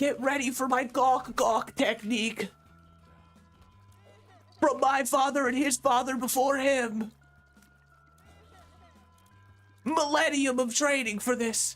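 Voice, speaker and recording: A man puts on a strained character voice with an extremely high pitch. He speaks at a fairly slow pace with long, frequent pauses over faint background music. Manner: dramatic, bombastic.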